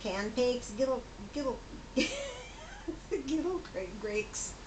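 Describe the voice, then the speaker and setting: A woman's high voice at a fairly slow pace, with audible room echo and noticeable background noise. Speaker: grandmother. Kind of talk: reading aloud. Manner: laughing hysterically; halting.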